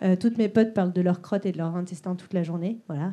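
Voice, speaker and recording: The female speaker keeps her intonation fairly even. Her tone is dark and mellow. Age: 30s. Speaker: stand-up comedian. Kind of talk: stand-up. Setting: stage with audience.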